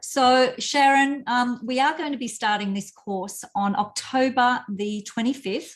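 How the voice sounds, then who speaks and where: A high-pitched woman's voice with an Australian accent, at a fairly slow pace with hardly any pauses. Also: ordinary pitch variation. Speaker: parenting coach. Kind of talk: casual chat. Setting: live video stream.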